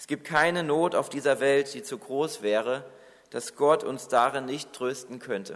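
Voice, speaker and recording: This man has a plain, everyday voice, fairly high in pitch, with lively intonation. He speaks at a fairly slow pace, and his loudness swings widely. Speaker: preacher. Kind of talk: sermon. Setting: church. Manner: earnest, warm and reassuring, pastoral tone; measured, exhorting the congregation directly.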